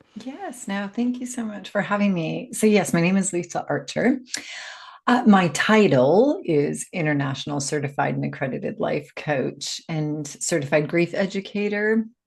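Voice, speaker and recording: A woman speaks at a moderate pace and medium pitch in an American accent, with vocal fry. Her pitch swings very widely. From US, Seattle. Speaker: life coach and grief educator. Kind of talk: podcast interview.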